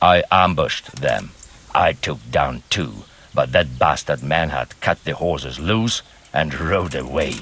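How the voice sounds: A man's put-on character voice, extremely low in pitch, slow in pace, with a slightly husky edge, lively intonation and a fairly bright tone.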